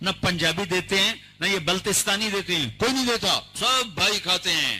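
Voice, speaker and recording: With a bright, sharp tone, a man's voice moves through very wide pitch swings. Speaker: Islamic preacher. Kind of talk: religious sermon (bayan).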